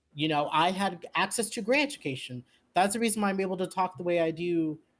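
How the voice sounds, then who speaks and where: Someone talks at a very fast pace in an Orange County accent. The recording is very clean, with a silent background. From US West Coast, Orange County California. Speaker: podcast guest, leftist commentator. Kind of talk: casual political chat. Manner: animated.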